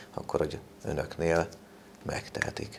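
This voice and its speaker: Light background noise sits beneath speech delivered at a moderate pace. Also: man. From Hungary. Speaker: local TV reporter and interviewer; local TV reporter, interviewer. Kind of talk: studio interview. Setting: TV studio. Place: studio. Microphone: lapel.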